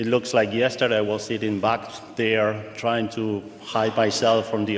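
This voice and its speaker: With a Spanish accent, a man talks at a moderate pace and fairly low pitch, and audible room echo surrounds his voice. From Argentina. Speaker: pharmaceutical supply chain executive. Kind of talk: guest presentation. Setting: auditorium with live audience.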